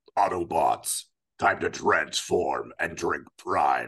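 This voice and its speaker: A man puts on a character voice. It comes out gruff and raspy. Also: very slow pace. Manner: commanding.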